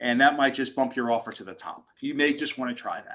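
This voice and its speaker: Speaking at a fairly quick pace, a man with an American accent has a bright, sharp tone and ordinary pitch variation. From New York. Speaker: mortgage lender. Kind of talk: Q&A in a video meeting. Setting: video call. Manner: fast.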